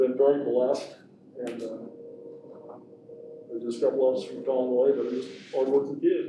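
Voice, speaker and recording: In an American accent, the speaker's loudness swings widely between long, frequent pauses, with audible room echo and noticeable background noise. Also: man. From Kansas, Sumner County. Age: 60s. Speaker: construction management contractor. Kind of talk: presentation to school board. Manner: halting, many fillers.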